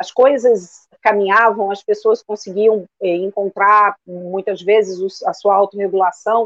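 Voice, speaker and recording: A woman with an ordinary speaking voice, medium in pitch, at a fairly slow pace, with a dry, close sound and no echo. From Rio de Janeiro, Brazil. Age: 50s. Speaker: therapist. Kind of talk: live-stream interview.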